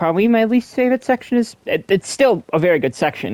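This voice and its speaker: A man mumbles at a moderate pace, the sound dry and close with no echo. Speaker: gamer streamer. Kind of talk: gameplay commentary. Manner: mumbling.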